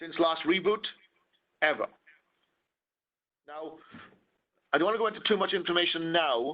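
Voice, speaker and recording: A man speaks with a Welsh accent in a high voice, at a moderate pace with ordinary pitch variation and long, frequent pauses. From Wales. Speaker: wireless security trainer. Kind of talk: technical presentation.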